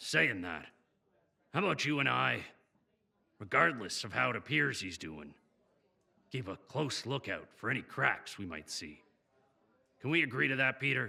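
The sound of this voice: A man puts on a character voice with a medium pitch, big pitch swings, a bright, sharp tone, and vocal fry. He moves at a moderate pace with long, frequent pauses.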